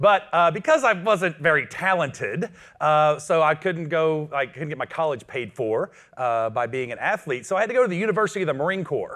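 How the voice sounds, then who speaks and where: Energetic in tone, a man talks at a fairly quick pace with a fairly high pitch. His intonation is lively. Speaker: business coach. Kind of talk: motivational talk. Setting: stage with audience. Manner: loud.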